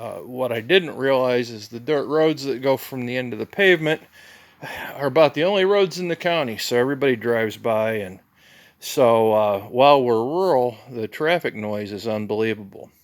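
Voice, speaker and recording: Moderately paced and medium in pitch, a man talks with lively intonation and big swings in loudness. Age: 60s. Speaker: hobby farmer. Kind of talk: tutorial. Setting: barn. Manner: casual, halting with fillers.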